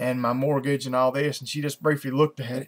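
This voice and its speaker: Talking at a fairly quick pace, a man with a medium pitch has a strong Southern US accent. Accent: strong rural Southern US. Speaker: video blogger. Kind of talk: casual vlog monologue. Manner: halting, many fillers and restarts.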